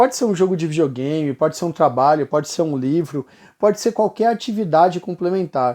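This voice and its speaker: Over a quiet background, a man with a dark, mellow tone and fairly high pitch talks at a fairly quick pace with lively intonation. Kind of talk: casual vlog monologue. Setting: bright lighting for video recording.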